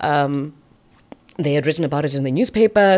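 A woman with a Botswana accent speaks at a very fast pace. Her very deep, low pitch shows ordinary variation. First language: Setswana. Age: 40s. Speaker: radio broadcaster and MC. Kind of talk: casual interview chat. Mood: reflective, reminiscing. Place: studio. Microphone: studio mic.

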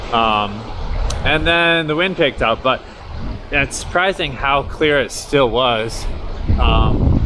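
A man speaks very slowly with very even loudness and ordinary pitch variation. Background noise is noticeable. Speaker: travel vlogger. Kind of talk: casual vlog chat. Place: beach. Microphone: phone near.

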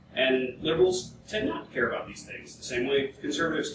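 A man amid noticeable background noise and audible room echo. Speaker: panelist. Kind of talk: panel discussion. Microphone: camera far.

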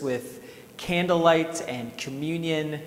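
In audible room echo, a man speaks with a high pitch and ordinary pitch variation. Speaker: pastor. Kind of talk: service welcome address. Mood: warm, welcoming. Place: church. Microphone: lapel.

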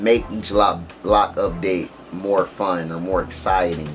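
The speech comes at a very slow pace with fairly even intonation. Music plays in the background. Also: man. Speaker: vlogger. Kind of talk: casual vlog chat. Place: home room.

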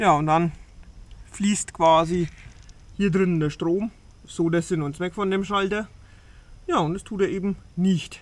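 A man's high-pitched voice at a fairly slow pace, with fairly even intonation and long, frequent pauses. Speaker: vlogger. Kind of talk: casual vlog chat. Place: farm machine. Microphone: phone near.

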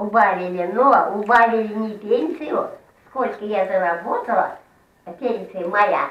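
Speaking at a very slow pace with long, frequent pauses, a woman shows ordinary pitch variation amid audible room echo. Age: old. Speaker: pensioner. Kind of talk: street interview answer. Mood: complaining about pension cut. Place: kitchen. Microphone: camera far.

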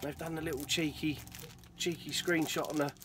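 A man with an English accent, fairly high in pitch, at a moderate pace, amid noticeable background noise. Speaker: retro gaming YouTuber. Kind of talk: casual video monologue. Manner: animated.

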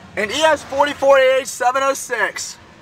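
With music playing in the background, a man talks at a fairly slow pace in an extremely high pitch. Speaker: railfan. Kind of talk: casual commentary while filming trains.

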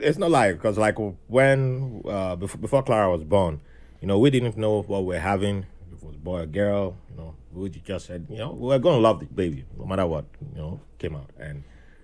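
A man's fairly low voice at a fairly quick pace, with lively intonation and big swings in loudness. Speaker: podcast guest. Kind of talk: conversational podcast discussion. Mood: reflective, lightly amused. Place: studio.

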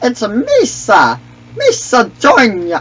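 The put-on character voice sits at a fairly high pitch. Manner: silly, exaggerated.

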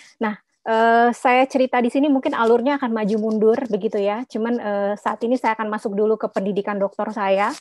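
An ordinary speaking voice at a fairly quick pace with hardly any pauses, fairly even intonation, and dry sound with no echo. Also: woman, fairly high pitch for a woman. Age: 40s. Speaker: midwife and postdoctoral researcher; webinar guest. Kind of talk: webinar presentation. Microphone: video call.

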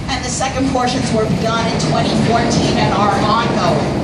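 A woman at a moderate pace, against loud background noise. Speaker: architecture tour guide. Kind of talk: guided tour commentary. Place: boat.

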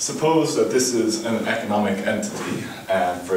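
Speech comes at a fairly slow pace with fairly even intonation, light background noise and audible room echo. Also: man. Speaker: conference presenter. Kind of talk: lecture. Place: classroom. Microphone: camera far.

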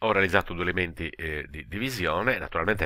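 A man speaks with lively intonation, vocal fry and a bright, sharp tone. The recording is very clean, with a silent background. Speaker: educational technology video tutor. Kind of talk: screen-recorded tutorial. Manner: hesitant, many filler sounds.

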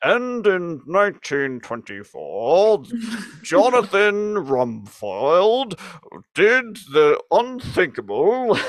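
A put-on character voice with a British accent moves at a very slow pace. Its pitch swings very wide. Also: man, high pitch for a man. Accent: stuffy British. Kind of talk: pompous, formal, documentary-style. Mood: playful dramatic storytelling.

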